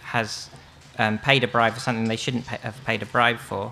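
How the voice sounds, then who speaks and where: A man is talking. Light background noise can be heard. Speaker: conference speaker. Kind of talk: lecture. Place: tent. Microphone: podium.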